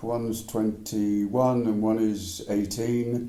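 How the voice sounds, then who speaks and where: In a room with audible echo, a man talks with monotone, flat intonation. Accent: English. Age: 80s+. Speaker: retired man, cancer survivor. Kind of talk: interview, life story.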